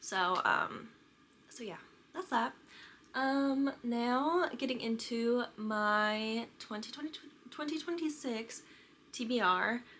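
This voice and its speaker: A woman with an American accent and a high pitch speaks very slowly with long, frequent pauses, using lively intonation and a bright, sharp tone. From US Midwest, Kansas City, Missouri. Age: 20s. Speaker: book vlogger. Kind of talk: casual chat to camera. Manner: casual, many fillers (um, like).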